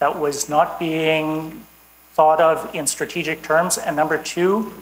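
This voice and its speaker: In a Canadian accent, someone speaks very slowly with fairly even intonation, with audible room echo and noticeable background noise. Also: woman, very deep, low pitch for a woman. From Canada. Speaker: environmental law enforcement expert. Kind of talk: conference talk.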